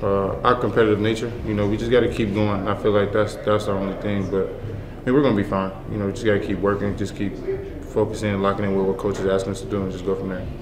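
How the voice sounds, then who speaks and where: A man's fairly low, flat monotone at a very fast pace, with audible room echo and noticeable background noise. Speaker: college basketball player. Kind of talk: press interview.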